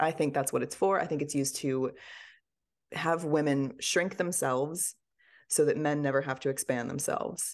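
Over a quiet background, a woman speaks at a moderate pace in a very deep, low pitch with ordinary pitch variation. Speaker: author and podcaster. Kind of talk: interview, casual chat.

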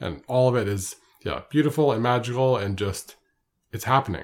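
The recording is very clean, with a silent background. A man with a normal speaking voice talks at a moderate pace with ordinary pitch variation. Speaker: podcast co-host, interviewer. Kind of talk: casual chat.

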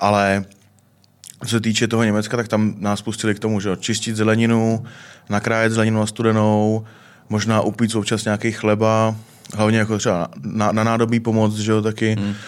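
A man rattles along at a very fast pace in a fairly low pitch with flat, monotone intonation. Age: 20s. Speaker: chef. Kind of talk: casual chat.

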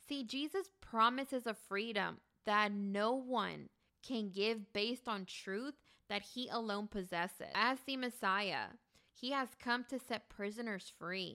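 A woman's bright, sharp voice, fairly high in pitch, at a fairly slow pace with ordinary pitch variation. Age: 30s. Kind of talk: casual chat.

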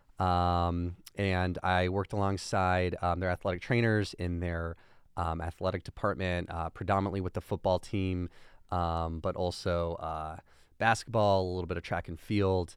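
A man with a very deep, low pitch speaks at a moderate pace in a monotone, flat intonation. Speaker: sports recovery clinic manager. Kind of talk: casual interview chat.

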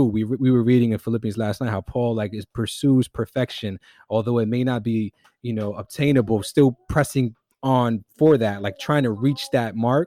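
A man with a New York accent speaks at a moderate pace with fairly even intonation, his medium-pitched voice dark and mellow in tone, in a very clean recording with a silent background and a dry, close sound with no echo. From New York City, the Bronx. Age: 30s. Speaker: hip-hop artist and musician. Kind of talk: casual chat.

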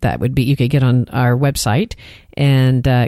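A woman with a Texan accent speaks at a very deep, low pitch, her tone dark and mellow with vocal fry. The sound is dry and close, with no echo. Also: very clean recording, silent background. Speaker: therapist and podcast co-host. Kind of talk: casual chat.

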